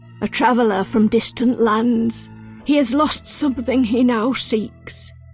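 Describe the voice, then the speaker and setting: A woman uses a put-on character voice, fairly high in pitch, over clear background music. She goes at a fairly slow pace with fairly even intonation and very even loudness. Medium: video game. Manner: terse, cryptic.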